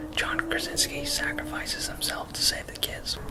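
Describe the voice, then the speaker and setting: A man whispers at a moderate pace. Noticeable background noise runs behind him. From South Africa. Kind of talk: ASMR-style movie review to camera, casual opinion. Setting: outdoors with traffic noises and barking dogs. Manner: casual, opinionated, critical.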